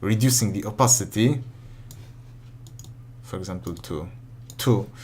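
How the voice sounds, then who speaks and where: There is audible room echo as a man speaks, somewhat breathy, with ordinary pitch variation. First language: not English. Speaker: modding tutorial youtuber. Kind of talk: tutorial. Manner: halting, many self-corrections.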